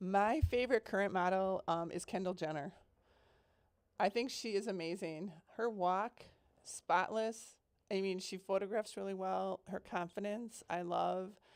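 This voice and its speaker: A woman with an American accent speaks in a normal speaking voice at a medium pitch and fairly slow pace, with ordinary pitch variation, on a very clean recording with a silent background. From US Midwest, Milwaukee. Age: 60s. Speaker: model and confidence coach. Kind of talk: interview.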